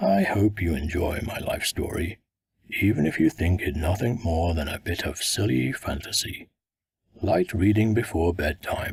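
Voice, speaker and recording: Very deep, low put-on character voice from a man. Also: moderate pace. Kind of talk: audiobook first-person narration. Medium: read story.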